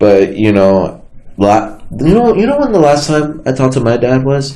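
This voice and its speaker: A man's dark, mellow voice at medium pitch and moderate pace, lively in intonation, very even in loudness, with audible room echo. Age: 20s. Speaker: talk show host, college student. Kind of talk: casual chat.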